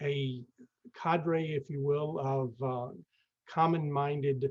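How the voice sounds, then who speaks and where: A fairly high, somewhat breathy male voice in a monotone, flat intonation. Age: 60s. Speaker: real estate investor, network founder. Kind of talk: webinar presentation. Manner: halting, many fillers.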